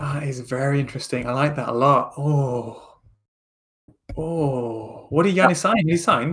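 In a Lancashire accent, a man talks at a fairly slow pace and a fairly high pitch. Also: ordinary pitch variation. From Lancashire, northern England. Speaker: podcast co-host. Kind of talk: casual chat.

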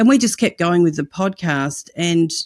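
On a very clean recording with a silent background, a woman talks in an Australian accent. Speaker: evangelism ministry director and podcast host. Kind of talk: interview conversation.

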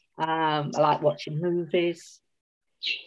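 A woman talks with a Cockney accent. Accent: London Cockney English. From South London, England. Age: 50s. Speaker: novelist. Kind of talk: casual interview chat.

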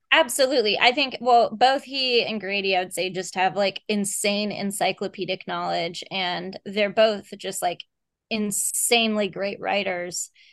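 Here a woman with an unremarkable speaking voice talks at a fairly slow pace, her medium pitch showing ordinary variation. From Texas. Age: 30s. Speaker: horror novelist. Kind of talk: casual interview chat.

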